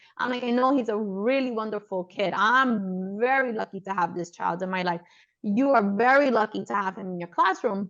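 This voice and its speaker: Speaking with an American accent, a woman uses a medium pitch, ordinary pitch variation and a moderate pace. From New York (Brooklyn). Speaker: podcast host, pediatrician. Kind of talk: casual interview chat.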